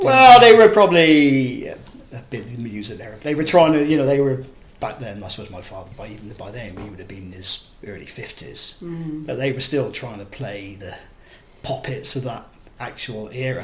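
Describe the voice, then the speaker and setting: Amid noticeable background noise, a man with a medium pitch speaks at a moderate pace, his intonation lively and his loudness swinging widely. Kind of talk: oral history interview answer.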